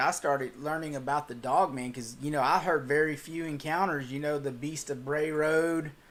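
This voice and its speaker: A man with a Texas accent, fairly high-pitched, at a moderate pace with fairly even intonation. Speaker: cryptid channel host. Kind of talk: livestream Q&A reading chat. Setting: livestream.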